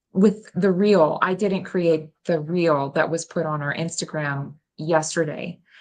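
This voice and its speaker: In an American accent, a woman with an unremarkable speaking voice and a fairly low pitch talks at a fairly slow pace. Her intonation is fairly even, with hardly any pauses. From United States. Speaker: festival host, crafter. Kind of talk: casual interview.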